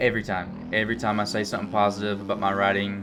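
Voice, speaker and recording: A man with a strong Alabama accent talks at a very fast pace in a bright, sharp tone. His pitch is fairly low, and room echo is audible. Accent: strong rural Alabama. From Alabama, US South. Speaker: gaming youtuber. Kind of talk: gameplay commentary. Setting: indoors at home. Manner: casual, many fillers.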